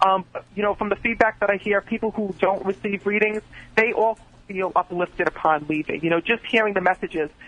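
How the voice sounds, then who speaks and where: Music plays behind a man with a high voice. He talks fairly quickly with fairly even intonation. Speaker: psychic medium. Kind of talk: live psychic readings for callers. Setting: phone call. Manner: fast talker.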